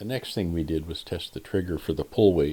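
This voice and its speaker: Speaking with an American accent, a man uses a very deep, low voice and fairly even intonation. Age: 60s. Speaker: airgun reviewer. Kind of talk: product review tutorial. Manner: casual with frequent fillers.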